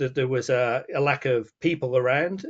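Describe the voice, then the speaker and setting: This man has a Falkland Islands accent and a fairly high pitch. His intonation stays fairly even. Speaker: wildlife guide. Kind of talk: webinar presentation.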